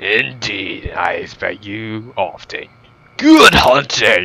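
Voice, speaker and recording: A very slow, raspy put-on character voice from a man. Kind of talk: pompous, formal. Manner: theatrical.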